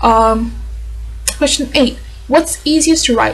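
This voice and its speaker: With noticeable background noise, this woman keeps a moderate pace. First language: not English. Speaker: vlogger and aspiring novelist. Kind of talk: casual vlog answering tag questions.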